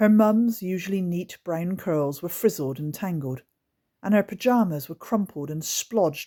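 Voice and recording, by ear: The reading aloud comes in a natural voice, with the background quiet.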